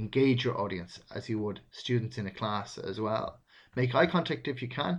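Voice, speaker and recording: A man with a somewhat breathy voice speaks at a moderate pace. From Ireland. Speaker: podcast host, recruitment advisor. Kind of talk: solo instructional talk.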